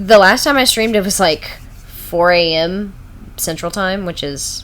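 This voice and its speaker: Audible room echo and noticeable background noise accompany a woman speaking with an American accent. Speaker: streamer. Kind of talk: casual live stream chat. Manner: halting, filler-heavy.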